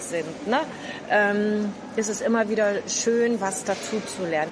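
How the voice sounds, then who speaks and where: Over noticeable background noise, a woman talks at a fairly slow pace with ordinary pitch variation. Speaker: senior cooking group host. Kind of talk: interview. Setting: cooking school kitchen in a market hall. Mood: nostalgic, reminiscing. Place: kitchen.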